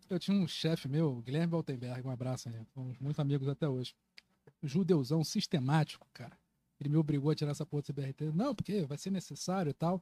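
A man with a fairly high pitch, a dark, mellow tone and a somewhat breathy quality talks at a fairly quick pace in a dry, close sound with no echo. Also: ordinary pitch variation. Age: 20s. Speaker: journalist and political activist. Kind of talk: casual podcast conversation.

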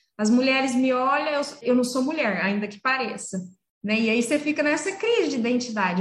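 Audible room echo surrounds a woman whose high voice shows ordinary pitch variation. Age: 40s. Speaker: veterinarian. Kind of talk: interview. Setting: video call.

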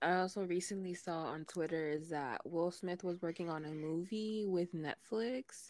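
With a plain, everyday voice, a woman talks at a moderate pace with fairly low pitch, ordinary pitch variation and hardly any pauses. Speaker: podcast host. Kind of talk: casual chat.

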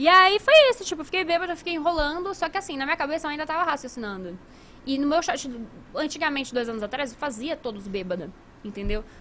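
A woman's raised, projected voice, high in pitch, with very wide pitch swings and a very fast pace over noticeable background noise. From Brazil, moved from Italy at age one. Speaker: gaming marketing professional and show host. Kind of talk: casual chat. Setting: live stream studio.

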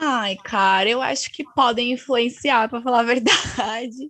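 An ordinary speaking voice goes at a fairly slow pace. Its intonation stays fairly even. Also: woman. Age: 20s. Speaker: student. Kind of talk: casual chat.

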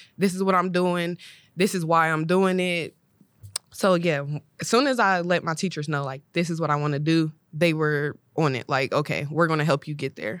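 A woman with an American accent speaks in an ordinary speaking voice, fairly low in pitch, with ordinary pitch variation. The recording is very clean, with a silent background. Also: moderate pace. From Ohio, Columbus. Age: 20s. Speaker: high school English teacher. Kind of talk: casual chat.

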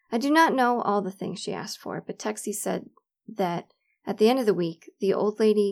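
In a dry, close recording with no echo, a woman uses a plain, everyday voice at a moderate pace with ordinary pitch variation. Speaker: reader of family letter. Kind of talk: reading aloud.

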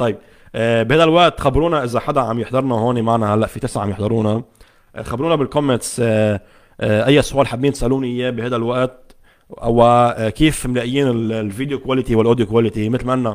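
A man with a Lebanese accent talks at a fairly quick pace in a medium pitch, his intonation fairly even. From Lebanon. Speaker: tech YouTuber. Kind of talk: live stream chat with viewers. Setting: home studio, Facebook live from laptop. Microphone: condenser microphone connected directly to laptop.

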